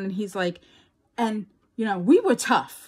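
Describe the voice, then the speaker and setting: A woman talks in an animated tone with a New York accent and a fairly high pitch. The recording is very clean, with a silent background. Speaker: crafting YouTuber. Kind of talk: casual chat.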